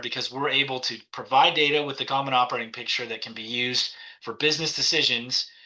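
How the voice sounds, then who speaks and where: Over audible room echo, a man with a bright, sharp tone and medium pitch talks at a fairly quick pace with fairly even intonation. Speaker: cybersecurity executive. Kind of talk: conference talk. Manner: fast.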